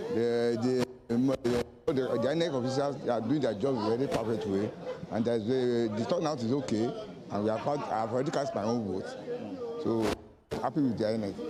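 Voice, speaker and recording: A man of medium pitch talks with ordinary pitch variation and very even loudness. Crowd noise and audible room echo surround his voice. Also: moderate pace. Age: 60s. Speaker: voter. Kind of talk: vox pop interview.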